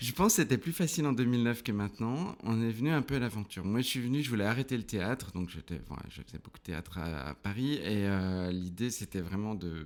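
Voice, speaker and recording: A man's fairly low-pitched voice at a fairly quick pace, with lively intonation and hardly any pauses. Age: 40s. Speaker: theatre trainer and business owner. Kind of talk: casual interview. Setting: podcast recording. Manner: hesitant, many fillers.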